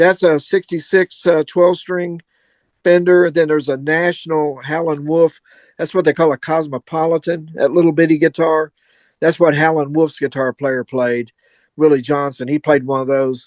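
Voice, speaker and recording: In a Kentucky accent, the speaker talks at a moderate pace with fairly even intonation. The sound is dry and close with no echo, over a quiet background. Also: man, fairly high pitch for a man. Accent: Kentucky Southern US. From Kentucky (Louisville, south central Kentucky). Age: 70s. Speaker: guitarist. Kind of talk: casual chat.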